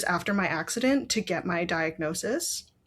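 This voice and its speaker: On a very clean recording with a silent background, a woman with a normal speaking voice talks with lively intonation. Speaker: brain injury survivor and patient advocate. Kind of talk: interview, personal health story.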